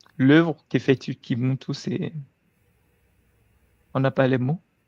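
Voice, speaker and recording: At a very slow pace, a man with a medium pitch and a dark, mellow tone speaks with fairly even intonation in a dry, close sound with no echo. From Togo. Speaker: guest. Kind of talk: casual chat.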